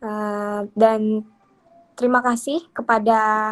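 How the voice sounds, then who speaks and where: Here is a woman with a normal speaking voice. Her pitch is fairly high and her intonation fairly even. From Bengkalis, Riau, Indonesia. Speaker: workshop speaker on pantun poetry. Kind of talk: online workshop talk. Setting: video call. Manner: casual, filler-heavy.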